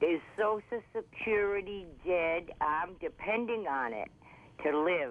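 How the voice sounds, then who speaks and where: Very slowly, a woman speaks with lively intonation. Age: 80s+. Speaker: caller, widow. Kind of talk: call-in question. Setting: phone call. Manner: emotional, halting.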